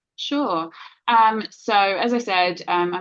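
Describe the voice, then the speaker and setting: A woman talks with a London accent. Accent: British (London). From England, London. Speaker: cybersecurity executive. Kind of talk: interview.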